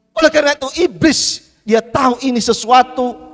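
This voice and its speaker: Music plays behind a man with an extremely high pitch, the sound dry and close with no echo. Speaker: pastor. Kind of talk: sermon.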